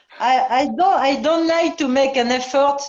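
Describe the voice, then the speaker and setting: A woman speaks in a French accent. Her pace is very slow and her pitch variation is ordinary. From France. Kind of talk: casual chat. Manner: halting.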